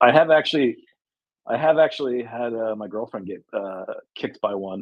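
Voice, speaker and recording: Speaking with an American accent in a normal speaking voice, a man holds a medium pitch and moderate pace with ordinary pitch variation and big swings in loudness. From United States. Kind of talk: casual chat.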